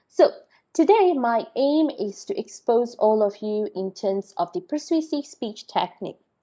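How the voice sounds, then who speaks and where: A woman's high-pitched voice with a dark, mellow tone, very wide pitch swings and a fairly slow pace. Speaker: lecturer. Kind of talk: lecture.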